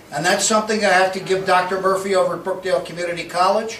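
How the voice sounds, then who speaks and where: Over noticeable background noise and audible room echo, a man talks in a high pitch with an American accent. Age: 60s. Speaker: county politician. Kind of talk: Q&A at community meeting. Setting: meeting hall with audience.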